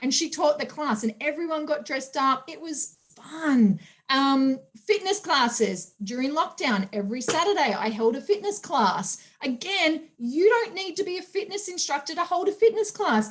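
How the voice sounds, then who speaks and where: A woman with an Australian accent speaks in an animated tone at a high pitch and a moderate pace. Her pitch swings very widely. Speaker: personal trainer and sales trainer. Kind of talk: training talk.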